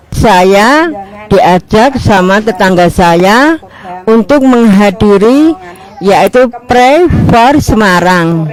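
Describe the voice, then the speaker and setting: Against noticeable background noise, a woman speaks very slowly in a fairly high pitch, her intonation lively and her loudness very even. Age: 60s. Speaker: healed church member giving testimony. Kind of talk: testimony.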